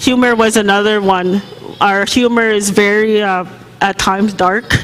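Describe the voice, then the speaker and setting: The speech moves at a moderate pace. Noticeable background noise can be heard behind it. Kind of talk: panel discussion answer. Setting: panel event with audience. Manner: careful, precise pronunciation; hesitant, many fillers.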